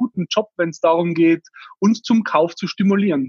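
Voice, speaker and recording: A man with a Tyrolean accent speaks at a high pitch with ordinary pitch variation, in a dry, close sound with no echo. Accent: Tyrolean Austrian dialect. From Austria, Tyrol. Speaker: startup founder. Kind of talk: interview.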